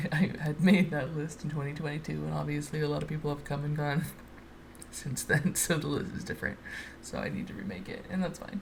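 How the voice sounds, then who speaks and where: A woman's voice with audible room echo. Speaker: artist doing a speedpaint voiceover. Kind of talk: casual unedited ramble. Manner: halting, many fillers.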